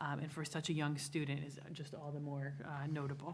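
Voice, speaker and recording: A woman at a fairly quick pace, with audible room echo around her voice. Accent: American. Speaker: school superintendent. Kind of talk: report at a school board meeting. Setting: board meeting room. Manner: fast.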